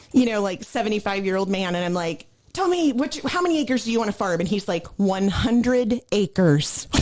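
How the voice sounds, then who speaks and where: A woman with an American accent speaks at a fairly quick pace and medium pitch, with lively intonation over noticeable background noise. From US Midwest, Illinois. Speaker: former farm equipment technology trainer. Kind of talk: casual chat. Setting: podcast recording.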